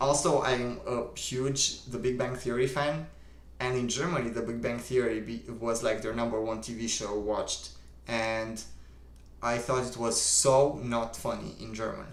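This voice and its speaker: A man at medium pitch speaks at a fairly slow pace, with noticeable background noise and audible room echo. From Romania. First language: Romanian. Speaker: livestream host. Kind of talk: casual chat. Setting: live stream. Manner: casual, filler-heavy.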